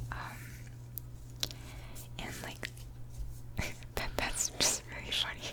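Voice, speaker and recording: A woman whispers very slowly, noticeable background noise around her. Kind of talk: ASMR whisper ramble and book reading. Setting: close microphone, studio. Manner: whispered, close-mic, casual, chatty.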